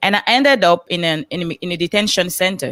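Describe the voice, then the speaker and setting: A woman speaks with a Cameroonian accent. The recording is very clean and silent in the background, with a dry, close sound and no echo. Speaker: motivational speaker on a coaching panel. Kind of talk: panel livestream talk, personal story.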